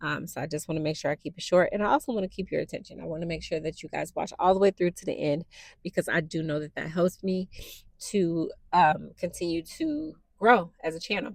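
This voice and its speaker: Soft-spoken and fairly low in pitch, a woman talks at a fairly quick pace with ordinary pitch variation, the sound dry and close with no echo on a very clean recording with a silent background. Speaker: new YouTuber / podcaster. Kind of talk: casual personal monologue to camera. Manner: halting, many fillers.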